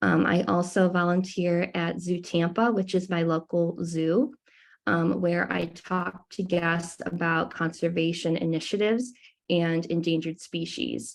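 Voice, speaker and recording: Her pitch fairly low, a woman speaks at a fairly slow pace with fairly even intonation. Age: 20s. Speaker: college student and environmental club leader. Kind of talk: presentation over video call. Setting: video call. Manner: hesitant, frequent ums.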